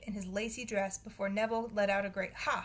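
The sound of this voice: The reading is delivered in an unforced reading voice. That voice carries every line.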